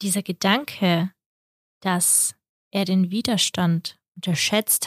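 A woman speaks at a medium pitch with fairly even intonation. The recording is very clean with a silent background, dry and close with no echo. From Kazakhstan, then Germany from age 9. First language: Russian (speaking German). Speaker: podcast co-host. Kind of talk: casual chat.

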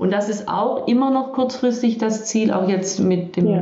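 The speaker goes at a fairly slow pace with ordinary pitch variation. Noticeable background noise and audible room echo fill the recording. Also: woman. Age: 50s. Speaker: leadership and body-awareness coach. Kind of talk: interview, casual chat.

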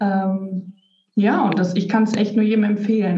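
In a room with audible echo, a woman talks at a moderate pace and a medium pitch. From Germany, North Rhine-Westphalia (Lippstadt). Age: 30s. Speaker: kabbalah reader, automotive worker. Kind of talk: interview. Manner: halting, many fillers.

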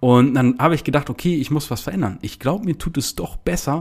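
With a plain, everyday voice, a man talks at a fairly quick pace with ordinary pitch variation on a very clean recording with a silent background. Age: 20s. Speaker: podcast host and online business coach. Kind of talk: casual podcast monologue.

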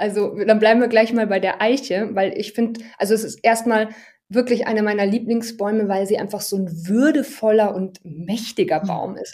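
A woman speaks at a fairly high pitch in a dark, mellow tone. Her pace is moderate, with ordinary pitch variation. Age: 30s. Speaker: herbal educator. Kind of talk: interview.

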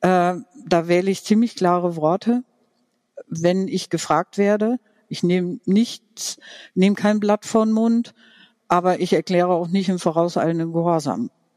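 A woman with a dark, mellow tone and medium pitch speaks at a fairly slow pace with long, frequent pauses and ordinary pitch variation, in a dry, close sound with no echo. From Franconia, Germany. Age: 50s. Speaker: podcast guest sharing coming-out story. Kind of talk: personal testimony interview. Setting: online video call.

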